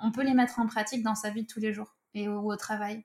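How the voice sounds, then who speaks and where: Her pitch is fairly high and her intonation monotone and flat. The woman keeps a moderate pace. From southwest France. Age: 30s. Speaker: author and football-club language teacher. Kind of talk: interview.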